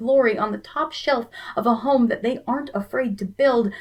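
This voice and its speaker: A woman talks in a fairly high pitch with fairly even intonation. Noticeable background noise runs beneath her. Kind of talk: spoken word poetry performance.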